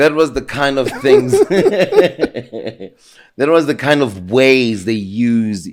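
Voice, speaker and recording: Speaking very slowly at a medium pitch, a man with a South African accent uses lively intonation. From South Africa, Soweto (Zola/Jabulani). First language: isiZulu. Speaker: homeless man telling his life story. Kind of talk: interview. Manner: well spoken.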